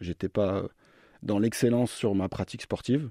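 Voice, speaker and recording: A man speaks at a fairly low pitch with ordinary pitch variation. The sound is dry and close with no echo, on a very clean recording with a silent background. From France, Orléans region. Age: 30s. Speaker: sports performance manager, physiotherapist. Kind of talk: radio interview. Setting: radio studio. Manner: hesitant, repeats words.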